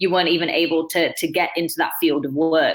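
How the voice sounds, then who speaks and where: In a Manchester accent, a woman speaks at a fairly quick pace with a fairly low pitch and fairly even intonation. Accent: Northern English (Manchester). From Manchester, England. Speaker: dancer and choreographer. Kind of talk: interview answer.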